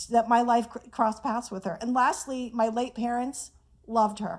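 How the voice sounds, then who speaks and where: This is a woman talking. She has an unremarkable speaking voice. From Iran, moved to Whittier, California as a child. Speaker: author. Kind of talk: tribute speech. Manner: casual, humorous.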